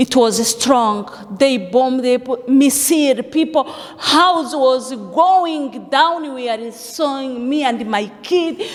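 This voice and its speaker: Over noticeable background noise, a woman with a non-native accent talks at a very slow pace and high pitch, with ordinary pitch variation. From Africa. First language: not English. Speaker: refugee giving testimony. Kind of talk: testimony. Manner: halting.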